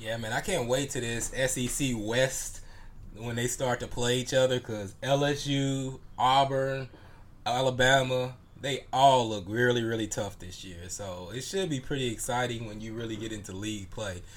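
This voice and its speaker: Big swings in loudness in a normal speaking voice, ordinary pitch variation, moderate pace. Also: man, medium pitch for a man. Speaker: podcast co-host. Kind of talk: casual sports chat.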